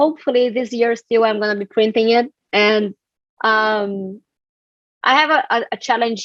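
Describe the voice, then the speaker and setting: With a Brazilian accent, a woman speaks at a moderate pace, her voice fairly high and her loudness very even. Long, frequent pauses break up her speech, and the sound is dry and close with no echo. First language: Portuguese. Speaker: community strategist and author. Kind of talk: live online book club discussion.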